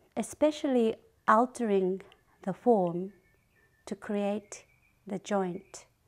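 This woman speaks with a Japanese accent at a very slow pace. The background is quiet. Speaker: ceramic artist. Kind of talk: interview monologue. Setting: studio. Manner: halting. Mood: calm, gentle, reflective.

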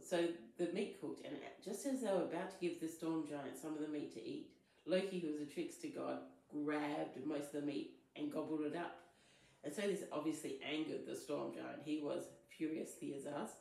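A woman talks at a fairly quick pace, with audible echo from the room. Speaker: spiritual content creator. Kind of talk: storytelling vlog. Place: home room. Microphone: phone near.

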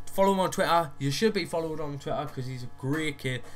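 A man with a Geordie accent, a fairly high pitch and ordinary pitch variation, at a very fast pace, with music in the background. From Newcastle area, northeast England. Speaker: YouTuber. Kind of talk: casual, slangy. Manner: fast talker.

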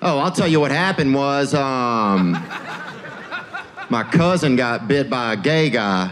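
Against noticeable background noise, a man speaks fairly slowly with a Southern US accent and lively intonation. His loudness stays very even throughout. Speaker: stand-up comedian. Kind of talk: stand-up comedy set. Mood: laid-back, deadpan, playful. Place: stage. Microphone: handheld.

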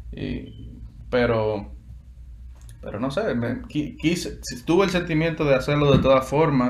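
Over light background noise, a man speaks at a fairly slow pace with long, frequent pauses. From Dominican Republic, Santo Domingo. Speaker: guitarist and music student. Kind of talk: interview. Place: home room. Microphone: video call.

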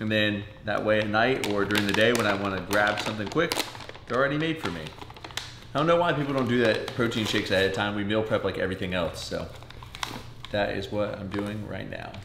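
Over noticeable background noise, a man with a fairly low pitch talks at a very fast pace with ordinary pitch variation. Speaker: home vlogger. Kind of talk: casual vlog chat. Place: kitchen. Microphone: camera far.

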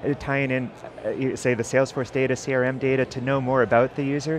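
A man talks at a fairly quick pace, the sound dry with no echo, over noticeable background noise. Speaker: tech company AI lead. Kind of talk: interview. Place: hall.

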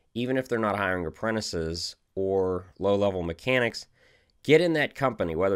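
Over a silent background in a very clean recording, a man speaks with a clear, smooth tone.

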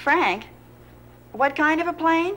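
A put-on character voice comes at a slow pace with lively intonation. Its tone is fairly bright. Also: woman, high pitch for a woman.

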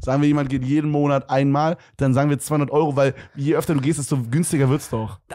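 A man with a fairly high pitch and a dark, mellow tone, talking at a very fast pace with very even loudness and fairly even intonation over a quiet background. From Germany. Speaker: podcast co-host. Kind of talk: casual chat. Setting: studio. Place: studio. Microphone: handheld.

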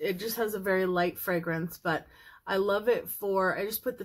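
This woman speaks with fairly even intonation. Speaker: makeup vlogger. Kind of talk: tutorial. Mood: cheerful, relaxed. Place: home room. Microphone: phone near.

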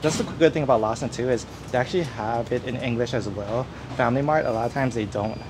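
Speaking at a very fast pace, the voice shows ordinary pitch variation over noticeable background noise. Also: man. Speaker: travel vlogger. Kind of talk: casual vlog chat. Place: shop.

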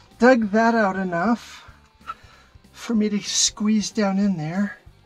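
The speech moves at a very slow pace. Faint music plays in the background. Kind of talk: casual exploration narration. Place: tunnel cave. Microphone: phone near.

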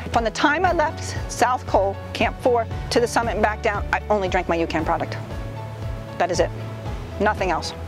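A woman talks at a moderate pace with long, frequent pauses. Clear music plays in the background, and the sound is dry with no echo. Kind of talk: interview answer. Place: forest. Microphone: lapel.

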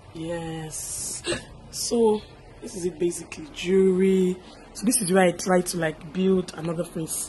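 A woman with a medium-pitched voice talks at a fairly slow pace over noticeable background noise. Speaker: YouTube vlogger. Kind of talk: casual vlog chat.

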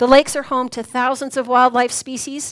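A woman's high voice against a quiet background. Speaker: event organizer and emcee. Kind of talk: speaker introduction and announcements. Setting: stage with audience in a brewery. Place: hall.

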